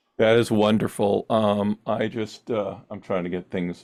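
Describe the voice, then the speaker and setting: On a very clean recording with a silent background, a man speaks at a fairly slow pace. His voice is fairly low, with monotone, flat intonation. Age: 60s. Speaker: talk show host. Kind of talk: interview. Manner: halting.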